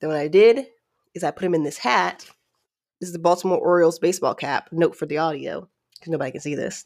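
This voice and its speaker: An animated tone comes through in this voice with an American accent. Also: woman, very clean recording, silent background. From US, Maryland and Georgia. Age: 30s. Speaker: podcast host. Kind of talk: casual solo chat.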